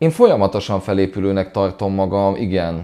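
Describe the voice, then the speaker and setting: A man talks fairly slowly, his tone dark and mellow. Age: 30s. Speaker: DJ, producer and music journalist. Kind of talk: interview. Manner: halting, many repeated words.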